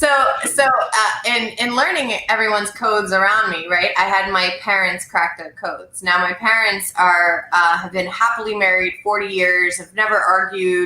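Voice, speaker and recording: A woman talks at a medium pitch and moderate pace, with ordinary pitch variation and hardly any pauses. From French Canada. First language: French. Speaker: sales professional and live show host. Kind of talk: casual chat. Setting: video livestream.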